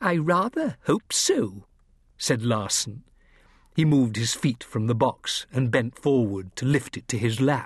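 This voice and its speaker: A man speaks at a fairly slow pace in a medium pitch, his voice somewhat breathy. His intonation is lively, and the background is quiet. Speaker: audiobook narrator. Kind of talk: dramatic audiobook narration of a kids' adventure, first-person. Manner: tense, suspenseful, hushed then sharp.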